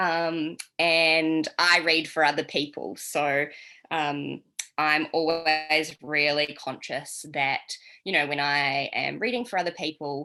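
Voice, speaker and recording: With a slight New Zealand accent, a woman speaks very slowly in a very deep, low pitch and fairly even intonation. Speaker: tarot reader. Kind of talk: online workshop teaching. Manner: casual, many filler ums.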